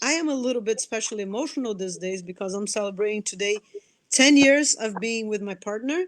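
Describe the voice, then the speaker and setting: Speaking fairly quickly with a Brazilian Portuguese accent, a woman uses a fairly high pitch and lively intonation. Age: 40s. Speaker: anthropologist and nonprofit director. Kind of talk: interview. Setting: live video stream. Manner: animated; repeats words, halting starts.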